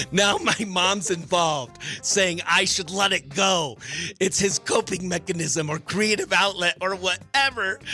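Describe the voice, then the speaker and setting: Music plays in the background as a man speaks in a raised, projected voice at a fairly slow pace. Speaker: radio morning show host. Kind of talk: radio show segment, reading a listener letter.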